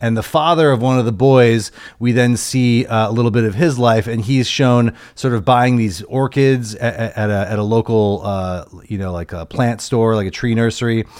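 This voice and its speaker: A man's normal speaking voice at medium pitch, ordinary pitch variation, moderate pace and hardly any pauses, in a very clean recording with a silent background. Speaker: returning guest. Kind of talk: casual chat about a film.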